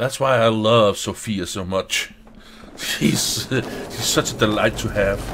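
Fairly low male voice at a fairly slow pace, with fairly even intonation and noticeable background noise. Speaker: gaming let's play commentator. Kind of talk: casual gameplay commentary.

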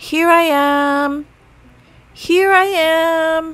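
A woman does a put-on character voice with an extremely high pitch, a fairly bright tone and fairly even intonation at a very slow pace.

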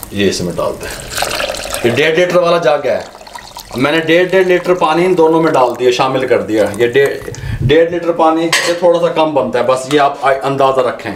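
Through noticeable background noise, a man talks at a fairly slow pace with ordinary pitch variation. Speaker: cooking show host. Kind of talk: tutorial. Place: kitchen.

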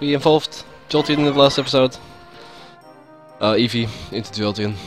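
Music in the background behind a man talking at a fairly high pitch and a fairly quick pace. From Netherlands. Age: 20s. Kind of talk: casual gameplay commentary.

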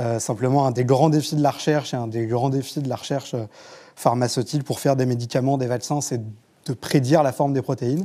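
With a dark, mellow tone, a man talks at a fairly quick pace and fairly even intonation. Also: medium pitch for a man, quiet background. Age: 30s. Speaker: journalist; journalist panelist. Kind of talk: panel discussion. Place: studio. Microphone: lapel.

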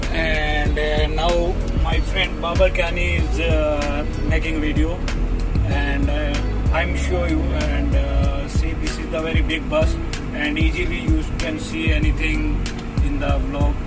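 Loud music plays in the background. The speech comes at a very slow pace. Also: man. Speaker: bus driver vlogger. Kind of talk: casual vlog chat. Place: bus. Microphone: phone near.

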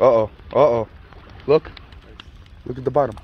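A man's voice carries a slightly husky edge. His intonation stays fairly even. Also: medium pitch for a man, moderate pace.

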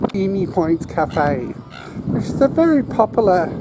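The speech moves at a very slow pace. The sound is dry with no echo, and there is noticeable background noise. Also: woman. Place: open country. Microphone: camera far.

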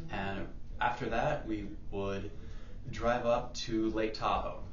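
A man with ordinary pitch variation amid audible room echo and light background noise. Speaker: fire performer. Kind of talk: contest video submission. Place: hall. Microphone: camera far.

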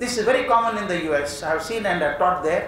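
There is audible room echo and light background noise. A man talks at a fairly quick pace. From India. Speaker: education speaker. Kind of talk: lecture. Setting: stage with audience. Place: hall. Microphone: podium.

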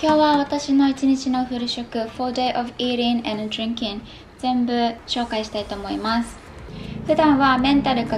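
Over light background noise, a woman with a high pitch talks in a fairly even intonation. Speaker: fitness vlogger. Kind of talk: casual vlog chat. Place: home room.

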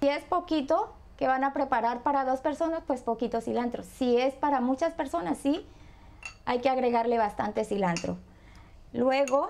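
At a fairly slow pace, a woman with a high pitch and ordinary pitch variation keeps her loudness very even, leaving long, frequent pauses over light background noise. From Colombia, Buenaventura (Pacific coast); Colombia. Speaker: home cook; guest. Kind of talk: cooking tutorial. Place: kitchen.

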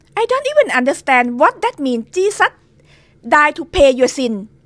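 At a fairly slow pace, a woman with a high-pitched voice speaks in a Thai accent. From Thailand. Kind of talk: testimony. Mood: earnest, dramatic. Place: home room. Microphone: studio mic.

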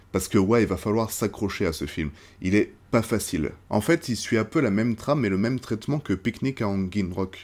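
A man speaks with a fairly low pitch and lively intonation. His pace is moderate. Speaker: film reviewer / YouTuber; film reviewer, YouTuber. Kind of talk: casual film review monologue. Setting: outdoors. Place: home room.

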